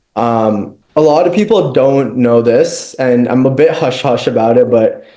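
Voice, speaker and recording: In a Canadian accent, a man speaks at a fairly slow pace and medium pitch, with ordinary pitch variation, very even loudness and audible room echo. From Ontario, Canada (Mississauga). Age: 20s. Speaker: startup founder. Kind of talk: interview. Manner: casual, filler-heavy.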